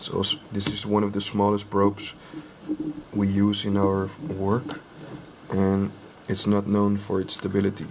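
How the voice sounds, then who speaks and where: Over light background noise, a man with a non-native accent and a fairly low pitch speaks with fairly even intonation and long, frequent pauses. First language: not English. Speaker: drone hobbyist and ultrasonic testing technician; inspection technician demonstrating. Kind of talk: tutorial. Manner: halting, many fillers; slow and deliberate. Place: workshop.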